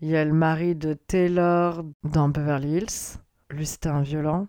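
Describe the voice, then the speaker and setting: This woman's voice is very deep and low in pitch, with a dark, mellow tone. She talks at a very slow pace in a monotone, flat intonation. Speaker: podcast host. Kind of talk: casual monologue.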